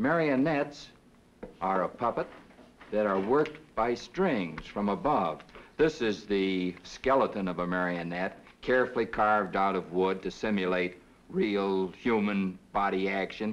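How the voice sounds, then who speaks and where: This man has a plain, everyday voice with a fairly low pitch. He speaks at a fairly slow pace with lively intonation. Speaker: puppeteer. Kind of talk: interview answer.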